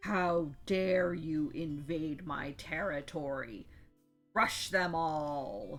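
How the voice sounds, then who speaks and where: Booming put-on character voice at a middle pitch, very slow, with faint music in the background. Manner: angry, commanding.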